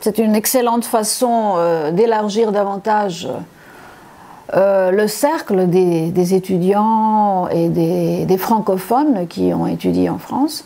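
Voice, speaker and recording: Speaking very slowly, a woman uses a medium pitch and ordinary pitch variation. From Congo (Likasi) until 12, then Cyprus. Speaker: university lecturer. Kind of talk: testimony. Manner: halting, many hesitations.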